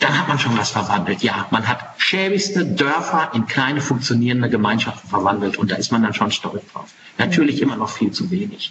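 A man at medium pitch, talking at a fairly quick pace with hardly any pauses and very wide pitch swings, over noticeable background noise. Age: 40s. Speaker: farrier and animal welfare charity leader. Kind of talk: interview. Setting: video call.

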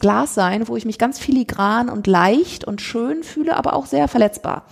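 Noticeable background noise sits behind a woman's fairly high voice. She talks at a moderate pace with very wide pitch swings. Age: 50s. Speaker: author and social entrepreneur. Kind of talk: interview conversation. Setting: in person, Berlin.

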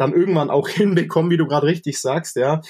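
A man talks fairly quickly in a somewhat breathy voice, his intonation fairly even. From Allgäu, Bavaria. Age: 20s. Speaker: rock singer and guitarist. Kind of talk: casual chat.

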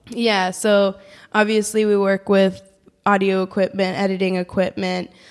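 With an American accent, a woman talks at a moderate pace in a medium pitch, her intonation monotone and flat and her loudness very even. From US, San Francisco Bay Area. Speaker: podcast network founder, former radio producer. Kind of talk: interview. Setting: studio.

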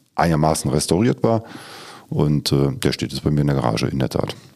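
Noticeable background noise runs through the clip. A man speaks with a very deep, low pitch. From Lower Rhine, Germany (Schiefbahn). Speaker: utility company department head. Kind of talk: casual interview chat. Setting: studio.

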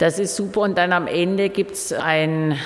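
Noticeable background noise fills the recording. Pitch moves with ordinary variation. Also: woman. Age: 50s. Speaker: exhibition curator and festival organizer. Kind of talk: interview. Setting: museum during exhibition setup.

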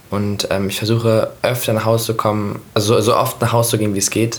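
Over noticeable background noise and audible room echo, a man at medium pitch speaks very fast in a monotone, flat intonation. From Hanover, northern Germany. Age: 20s. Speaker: pop singer. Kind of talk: casual interview.

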